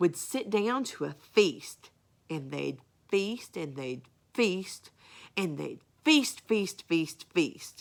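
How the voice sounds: What you hear is a natural reading voice.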